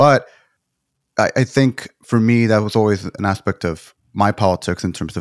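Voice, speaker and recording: A man with an ordinary speaking voice talks at a fairly low pitch with ordinary pitch variation, in a very clean recording with a silent background and a dry, close sound with no echo. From Texas, to Mexican immigrant parents. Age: young. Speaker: political organizer. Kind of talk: casual chat.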